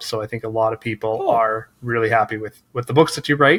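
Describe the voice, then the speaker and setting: A man's normal speaking voice at a fairly quick pace, fairly even intonation, on a very clean recording with a silent background. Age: 40s. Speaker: podcast host and author. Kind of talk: interview; scripted narration.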